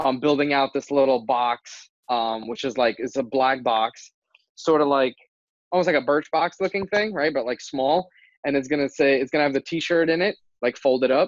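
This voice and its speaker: Speaking at a moderate pace, a man with a New Jersey accent has a fairly high pitch and ordinary pitch variation. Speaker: entrepreneur, kitchen and bath contractor. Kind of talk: casual interview chat.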